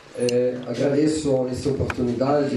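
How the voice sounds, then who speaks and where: Amid noticeable background noise and audible room echo, a man talks at medium pitch. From Italy, Parma. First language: Italian (speaking Portuguese). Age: 60s. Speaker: mayoral candidate. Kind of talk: campaign speech at public debate. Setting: auditorium with audience.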